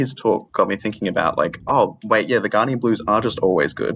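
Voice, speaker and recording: With an Australian accent, this man speaks. His words come out at a very fast pace. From Australia, Adelaide. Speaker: caller. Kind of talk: casual chat.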